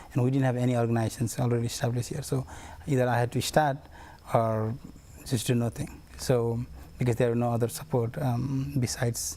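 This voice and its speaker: A man speaks at a fairly quick pace with long, frequent pauses and fairly even intonation. His tone is dark and mellow, and somewhat breathy. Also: medium pitch for a man. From Bhutan, raised in Nepal refugee camp. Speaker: community engagement coordinator. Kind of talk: TV interview. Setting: TV studio.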